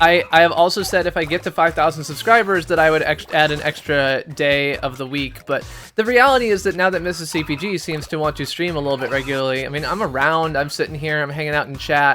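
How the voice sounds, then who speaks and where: Very fast, with hardly any pauses, a man's fairly high voice of ordinary pitch variation over music in the background. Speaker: gaming streamer. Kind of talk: casual livestream chat.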